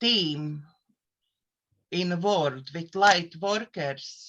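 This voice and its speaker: This woman speaks with a Latvian accent. Her pace is very slow and her intonation is lively. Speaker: therapist and life coach. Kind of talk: casual self-introduction on a live show. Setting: live online show. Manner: halting, with fillers.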